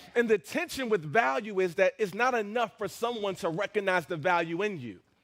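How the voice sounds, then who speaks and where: Speaking at a fairly quick pace, a man with a high pitch uses lively intonation and an animated tone. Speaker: pastor. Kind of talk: sermon. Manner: fast.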